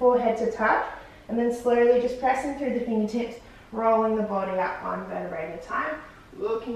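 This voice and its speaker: A woman talks at a fairly quick pace, with big swings in loudness. Strong room echo and light background noise are present. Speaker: fitness instructor. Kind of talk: exercise class instruction. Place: home room.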